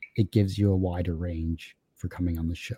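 The man's voice is dark, mellow, and somewhat breathy, with a dry, close sound, no echo, and a very clean recording over a silent background. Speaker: podcaster. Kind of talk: casual interview chat.

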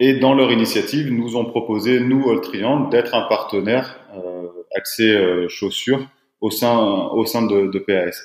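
This man talks very slowly at a medium pitch with ordinary pitch variation. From southeastern France. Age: 30s. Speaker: footwear company founder. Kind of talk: podcast interview.

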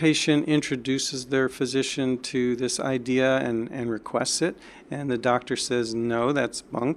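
A man with an American accent and a plain, everyday voice speaks at a fairly slow pace. His pitch is medium, and the recording is very clean with a silent background. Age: 60s. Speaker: doctor. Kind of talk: interview. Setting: in person.

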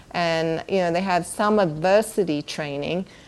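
A woman with an American accent speaks. Her pace is fairly slow. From England. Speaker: bereaved parent and veterans mental health event organizer. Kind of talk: interview.

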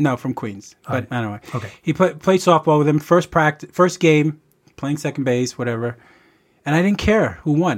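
A man with a New York accent, fairly high in pitch, at a moderate pace with lively intonation, on a very clean recording with a silent background. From New York City, the Bronx. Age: 50s. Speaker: childhood friend of host. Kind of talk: casual chat.

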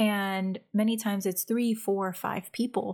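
A soft-spoken woman talks at a medium pitch with monotone, flat intonation. The recording is very clean and the background silent. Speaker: podcast host and coach. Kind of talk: solo podcast monologue, casual coaching talk. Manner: soft-spoken, introverted by her own account.

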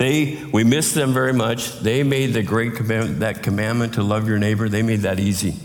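A man at a medium pitch can be heard with audible room echo around him. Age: 60s. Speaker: pastor. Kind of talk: sermon.

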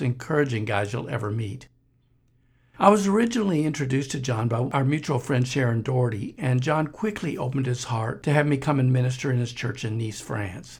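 The man's voice is somewhat breathy. His medium pitch varies in an ordinary way. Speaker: podcast host and missionary minister. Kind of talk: podcast intro and appeal.

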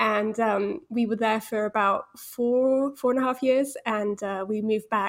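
A woman with a British accent speaks at a fairly high pitch and a moderate pace, her intonation fairly even, on a very clean recording with a silent background. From Holland, British parents. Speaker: Spanish resources founder and mother. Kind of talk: interview conversation.

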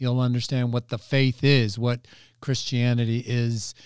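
With an ordinary speaking voice, a man talks at a fairly slow pace in a medium pitch with fairly even intonation, captured in a very clean recording with a silent background. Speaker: pastor. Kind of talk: teaching explanation of church program.

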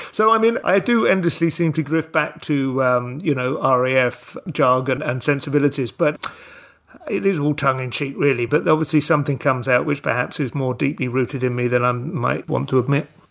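With noticeable noise behind him, the man talks fairly quickly, his pitch fairly high and his intonation varying in an ordinary way. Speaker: stand-up comedian and writer. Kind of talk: interview, casual chat.

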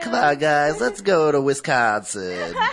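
A put-on character voice, nasal and low-to-middle in pitch, with very wide pitch swings, a fairly slow pace and clear background noise. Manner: mocking impression.

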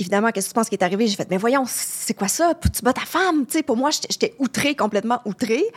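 Using a normal speaking voice, a woman with a fairly high pitch talks with lively intonation in a dry, close sound with no echo. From Quebec. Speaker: travel journalist. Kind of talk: podcast interview. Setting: studio.

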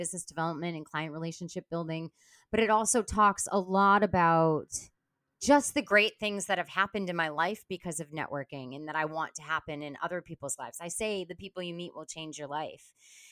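Heard against a silent background in a very clean recording, a plain, everyday voice carries ordinary pitch variation with a dry, close sound and no echo. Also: woman. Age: 40s. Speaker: networking and business development strategist. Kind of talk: interview.

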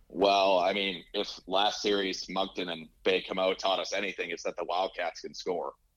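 The speaker is a man at a moderate pace. He leaves hardly any pauses. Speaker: hockey podcaster. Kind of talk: casual chat.

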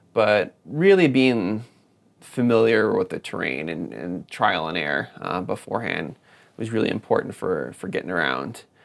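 Marked by vocal fry and very wide pitch swings, a man with an American accent talks at a moderate pace with a fairly low pitch. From US Midwest, Wisconsin (Madison area). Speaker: mountain runner and teacher. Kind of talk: interview.

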